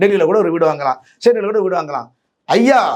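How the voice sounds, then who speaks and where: A man's voice with ordinary pitch variation. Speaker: senior journalist. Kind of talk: interview. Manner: halting.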